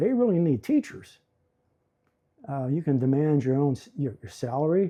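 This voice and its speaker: This man has an American accent and a fairly high pitch with very wide swings. His dark, mellow tone is somewhat breathy, and he keeps a moderate pace. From western Pennsylvania, Beaver County. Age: 70s. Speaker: retired educator and YouTuber. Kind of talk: casual DIY tutorial with storytelling. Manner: halting, with frequent fillers and repetitions.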